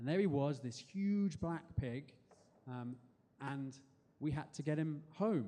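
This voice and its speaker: Ordinary pitch variation from a man with an English accent. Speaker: spoken word performer. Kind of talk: storytelling performance. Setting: stage with audience.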